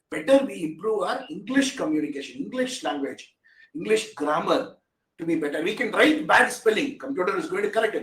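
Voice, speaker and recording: With a Tamil Indian accent, a man talks at a fairly quick pace. His extremely high voice makes very wide pitch swings. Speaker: AI technology expert. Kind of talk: webinar talk.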